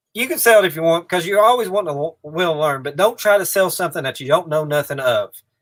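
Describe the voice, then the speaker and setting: Talking at a very fast pace with hardly any pauses, a man with a high pitch speaks in a strong eastern Kentucky accent. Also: ordinary pitch variation. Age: 30s. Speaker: reseller, channel owner. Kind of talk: live stream chat. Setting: in a shed. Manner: casual, repetitive.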